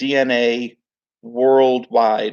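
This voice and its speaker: The speaker is a man. He is loud. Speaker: crypto YouTuber. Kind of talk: casual livestream talk. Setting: at home.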